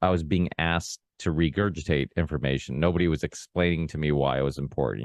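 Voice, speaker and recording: Talking at a very fast pace with vocal fry and fairly even intonation, this voice sounds dry and close with no echo over a quiet background. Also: man. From Portugal, raised in the US. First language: Portuguese. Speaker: podcast host. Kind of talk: casual conversation. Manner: hesitant, many fillers and restarts.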